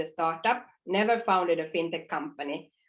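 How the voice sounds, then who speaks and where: A woman with a Nordic accent speaks at a moderate pace. Her pitch is fairly low with ordinary variation. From northern Sweden, Finnish parents. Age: 40s. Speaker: fintech co-founder and CEO. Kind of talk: conference talk. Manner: loud and clear; repetitive false starts.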